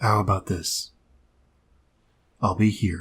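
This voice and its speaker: A man uses a put-on character voice, fairly low in pitch and calm in tone, on a very clean recording with a silent background. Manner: reserved, calm.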